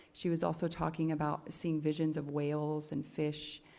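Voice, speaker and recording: The voice has a dark, mellow tone. Room echo is audible. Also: woman. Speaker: expert witness, doctor. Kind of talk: court testimony. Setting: courtroom.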